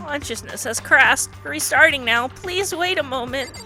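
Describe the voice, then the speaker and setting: A put-on character voice pitched high, at a moderate pace, with clear music in the background. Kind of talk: robotic, announcement-like. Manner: flat monotone, no inflection.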